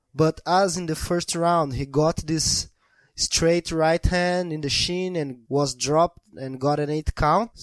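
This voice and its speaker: In a Brazilian accent, the speaker talks very slowly with fairly even intonation, in a dry, close sound with no echo on a very clean recording with a silent background. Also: man, fairly high pitch for a man. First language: Portuguese. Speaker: podcast host. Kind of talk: casual chat.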